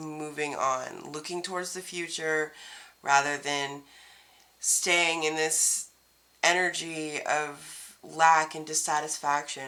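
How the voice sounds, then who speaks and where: Her pitch is very deep and low, with a bright, sharp tone. This woman speaks at a very slow pace. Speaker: tarot reader. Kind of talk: tarot reading.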